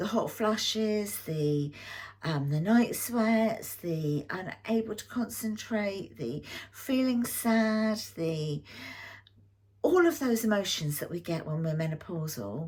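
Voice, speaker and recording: The speaker, with an English accent, goes at a very slow pace in a somewhat breathy voice with very wide pitch swings. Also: woman, medium pitch for a woman. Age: 60s. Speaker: YouTube lifestyle vlogger. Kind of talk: personal health story to camera. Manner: casual, hesitant with fillers.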